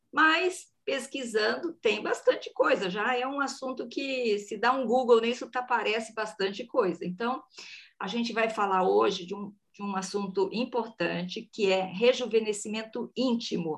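A woman speaks fairly slowly at a fairly high pitch with lively intonation. She has a normal speaking voice. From Brazil, countryside. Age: 50s. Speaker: podcast host. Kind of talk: casual chat.

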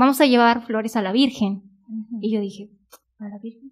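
In a Mexican accent, a woman with a fairly high voice speaks at a moderate pace, her intonation fairly even. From Mexico, northern Veracruz. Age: 20s. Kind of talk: casual chat, vocation testimony.

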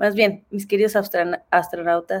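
This woman's voice is fairly high in pitch. She talks at a fairly slow pace. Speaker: podcast host and speaker. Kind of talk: casual chat.

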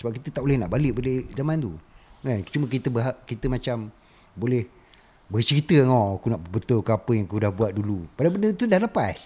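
A man talks very fast with lively intonation at a medium pitch. His tone is dark and mellow, and somewhat breathy. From Malaysia, Raub, Pahang. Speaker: artist and former factory worker. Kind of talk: casual chat.

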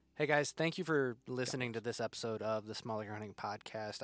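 Talking at a very fast pace, a man with a Midwestern American accent uses a medium pitch and ordinary pitch variation in a very clean recording with a silent background. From northern Indiana. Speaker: hunting podcast host and habitat consultant. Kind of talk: solo podcast monologue.

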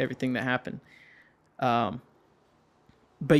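A man speaks at a medium pitch with a Southern US accent. The recording is very clean, with a silent background. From US South, Georgia. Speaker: middle school worker. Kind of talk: casual chat.

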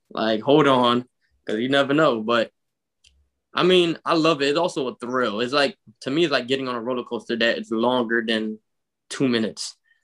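Talking at a fairly quick pace in a Philadelphia accent, a man leaves long, frequent pauses. His pitch is medium, with ordinary variation. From North Philadelphia. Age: 20s. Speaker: travel enthusiast. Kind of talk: casual chat.

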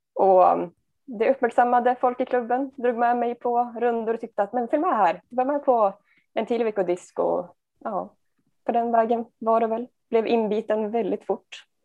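An unremarkable speaking voice from a woman, fairly high in pitch, with fairly even intonation at a moderate pace. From Sundsvall, Sweden. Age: 20s. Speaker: amateur disc golfer and nursing student. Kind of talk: interview.

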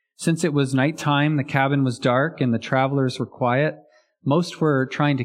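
Over a quiet background, an unforced reading voice keeps a fairly even intonation.

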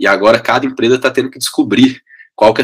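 A man with a mineiro accent, talking at a very fast pace. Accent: mineiro (Minas Gerais), still noticeable. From Brazil, Belo Horizonte (Minas Gerais). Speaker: education company CEO. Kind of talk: interview conversation. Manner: energetic, enthusiastic.

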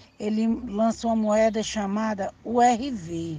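Her fairly high, somewhat breathy voice has a dark, mellow tone and fairly even intonation as this woman speaks. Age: 50s. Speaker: grandmother guest. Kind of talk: personal recollection monologue. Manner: halting, with repetitions and self-corrections.

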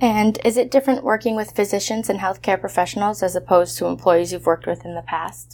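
A woman with an American accent at a medium pitch and a very fast pace, hardly any pauses, ordinary pitch variation, big swings in loudness and vocal fry. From Massachusetts. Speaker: college student interviewer. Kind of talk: interview.

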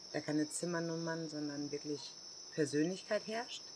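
The woman's pitch is very deep and low. She keeps her intonation fairly even. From Germany. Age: 40s. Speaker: hostel owner. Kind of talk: casual interview. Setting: outdoors in the jungle.

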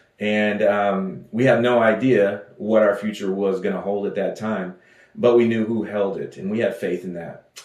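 This voice has a Texan accent and a monotone, flat intonation. The pace is moderate. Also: man, fairly low pitch for a man. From West Texas. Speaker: pastor. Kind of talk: sermon. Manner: halting.

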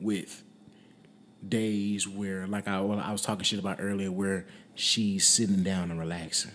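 With an American accent, a man speaks at a moderate pace in a fairly low pitch with monotone, flat intonation. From US South, Alabama (Wetumpka). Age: 20s. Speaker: rapper and audio engineer. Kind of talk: casual interview. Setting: studio.

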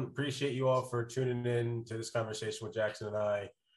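Somewhat breathy speech at a fairly quick pace. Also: man. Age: 30s. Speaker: sales consultant and startup advisor. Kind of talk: casual interview chat.

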